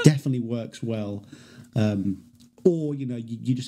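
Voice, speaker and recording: Speaking with a British accent, a man has a dark, mellow tone that is somewhat breathy. His pace is fairly quick. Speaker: podcast host. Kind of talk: casual chat.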